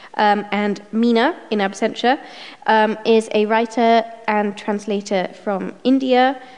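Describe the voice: A fairly high-pitched woman's voice, slightly mellow in tone, at a fairly slow pace with fairly even intonation.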